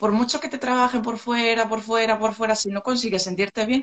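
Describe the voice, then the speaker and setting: This woman has a plain, everyday voice, pitched fairly high, with fairly even intonation. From Asturias, Spain (Gijón). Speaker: beautician. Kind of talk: live stream interview. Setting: Instagram live video call.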